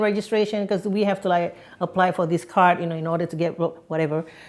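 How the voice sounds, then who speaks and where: With a slight Singaporean accent, a woman speaks with lively intonation. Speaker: podcast guest. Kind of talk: interview.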